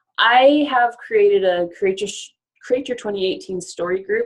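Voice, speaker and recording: Her pitch varies in an ordinary way as this woman speaks. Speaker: life coach. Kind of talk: webinar presentation. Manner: fast; animated.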